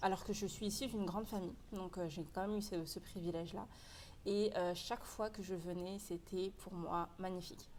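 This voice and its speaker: A woman's normal speaking voice at a medium pitch, moderate in pace, with fairly even intonation. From France, Paris region. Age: 20s. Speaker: e-commerce entrepreneur. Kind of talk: casual interview.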